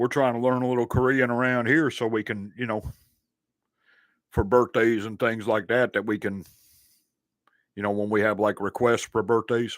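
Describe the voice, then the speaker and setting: With a Southern US accent, a man speaks at a moderate pace and medium pitch, with fairly even intonation and long, frequent pauses, in a very clean recording with a silent background. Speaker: sports and reaction channel host. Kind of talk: casual chat. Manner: relaxed, filler-heavy.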